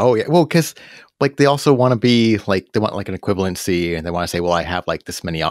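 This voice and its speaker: Very fast speech with ordinary pitch variation comes through in a dry, close sound with no echo and a very clean recording with a silent background. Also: man. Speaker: podcast host. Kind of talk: casual interview.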